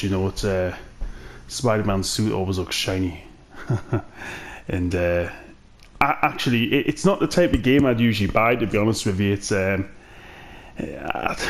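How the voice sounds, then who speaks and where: A Geordie accent at a moderate pace, with ordinary pitch variation and long, frequent pauses. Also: man. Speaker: gaming YouTuber. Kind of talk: game review commentary. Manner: casual, hesitant with fillers.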